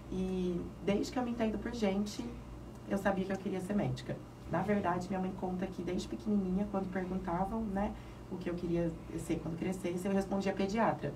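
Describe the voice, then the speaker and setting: Over noticeable background noise and audible room echo, a woman of medium pitch speaks at a fairly quick pace. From interior of São Paulo state, Brazil (Mirassol). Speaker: pediatric neurologist. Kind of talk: radio interview.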